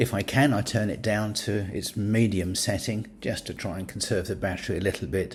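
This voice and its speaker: A man's fairly low, somewhat breathy voice with a British accent, fairly even intonation and a moderate pace. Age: 70s. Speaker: scuba diving YouTuber. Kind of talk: product review. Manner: hesitant with fillers.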